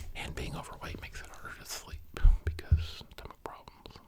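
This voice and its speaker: A man is whispering at a moderate pace against noticeable background noise. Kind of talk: whispered ASMR ramble for sleep. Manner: soft-spoken, whispering.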